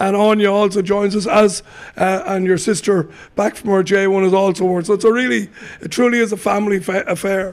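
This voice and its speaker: Fairly quick and fairly even in intonation, a man speaks at a high pitch. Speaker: radio presenter. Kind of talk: radio interview. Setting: on location in a salon.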